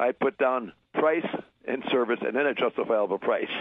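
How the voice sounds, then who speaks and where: A man with a Wisconsin accent talks at a moderate pace. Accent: Upper Midwest (Wisconsin). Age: 80s+. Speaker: deli shop owner. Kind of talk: interview. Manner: halting, repeats words.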